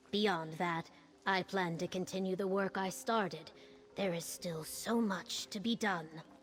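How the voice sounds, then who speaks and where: A woman uses a put-on character voice at a medium pitch and moderate pace. Clear background noise runs underneath. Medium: video game. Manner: earnest.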